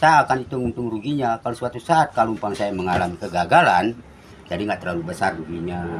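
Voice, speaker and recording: Very fast speech comes from a man. His voice is fairly low. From Bali, Indonesia. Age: 70s. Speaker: ornamental fish farmer. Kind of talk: interview.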